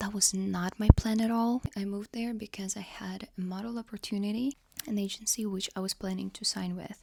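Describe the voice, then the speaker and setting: A quiet woman at medium pitch, fairly quick with hardly any pauses, monotone and flat in intonation, with big swings in loudness and a dry, close sound with no echo. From Ukraine. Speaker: vlogger. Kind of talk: casual chat.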